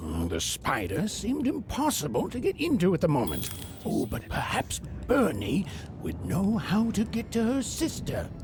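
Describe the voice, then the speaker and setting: At a moderate pace, someone performs a put-on character voice over clear background noise. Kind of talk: fairy-tale narration. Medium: video game.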